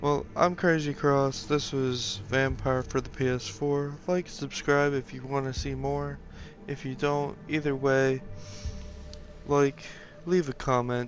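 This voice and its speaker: A quiet man's voice, fairly high in pitch, with fairly even intonation and music in the background. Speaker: gamer playing a video game. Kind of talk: let's play commentary. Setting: at home on a couch. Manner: quiet, subdued.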